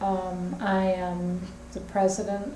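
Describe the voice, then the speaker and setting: In a Southern US accent, a woman of medium pitch speaks amid noticeable background noise and audible room echo. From US South, Richmond, Virginia. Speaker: head of a spiritual society. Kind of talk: interview statement.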